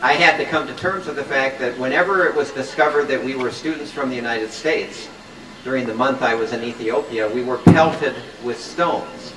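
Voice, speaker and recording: A man with an American accent at a fairly quick pace, medium in pitch with ordinary pitch variation, amid audible room echo and noticeable background noise. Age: 60s. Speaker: professor and peace activist. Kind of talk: public speech.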